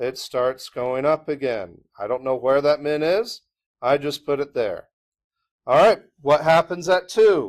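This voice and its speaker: With an unremarkable speaking voice, a man talks at a fairly slow pace, his pitch fairly high and his intonation lively. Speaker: math teacher. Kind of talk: classroom lecture.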